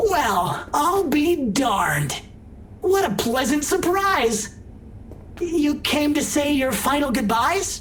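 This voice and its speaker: In a put-on character voice with a high pitch, the speech goes at a very slow pace over clear background noise. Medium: video game. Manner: friendly, folksy, joking.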